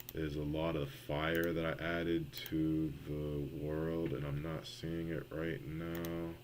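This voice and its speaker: Amid audible room echo, a man speaks at a very slow pace in a very deep, low pitch, his intonation fairly even. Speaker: game developer streamer. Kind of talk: live coding stream.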